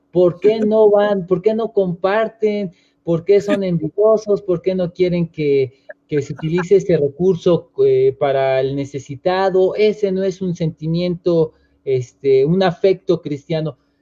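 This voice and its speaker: In a dry, close sound with no echo, a man talks at a fairly slow pace with a high pitch, a dark, mellow tone and ordinary pitch variation. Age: 30s. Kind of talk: interview.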